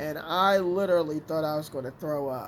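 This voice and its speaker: A man with a fairly high voice talks at a moderate speed. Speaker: vlogger. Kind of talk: casual storytelling.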